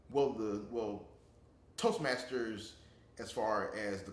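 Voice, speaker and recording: Ordinary pitch variation with audible room echo. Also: man. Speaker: interviewee, public speaking club member. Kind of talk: interview. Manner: halting, many repetitions.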